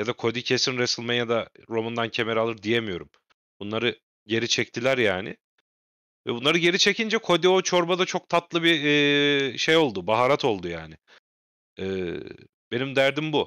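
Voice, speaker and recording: Dry and close with no echo and a quiet background, the clip has a man speaking at a moderate pace in a medium pitch, bright and sharp in tone, with very wide pitch swings and long, frequent pauses. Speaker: wrestling podcast host. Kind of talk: casual chat.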